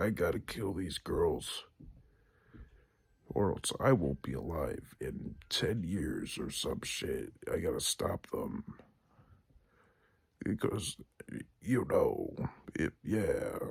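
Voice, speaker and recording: A man puts on a character voice, talking at a very slow pace broken by long, frequent pauses. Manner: mysterious and creepy, tough.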